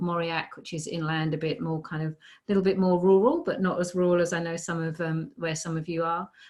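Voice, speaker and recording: A woman with a British accent talks fairly quickly in a fairly low voice. Her intonation stays fairly even. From United Kingdom. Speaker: positive psychology researcher and teacher. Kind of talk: casual interview. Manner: hesitant, many fillers.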